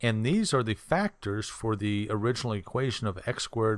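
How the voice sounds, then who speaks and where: This is a very clean recording with a silent background. A man talks at medium pitch with ordinary pitch variation. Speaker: math tutor. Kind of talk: tutorial. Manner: slow, deliberate.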